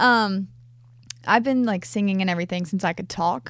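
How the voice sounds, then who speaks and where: A woman's ordinary speaking voice, medium in pitch and fairly quick, on a very clean recording with a silent background. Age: 20s. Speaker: country music artist. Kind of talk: casual interview. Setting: in-person recording in Franklin, Tennessee.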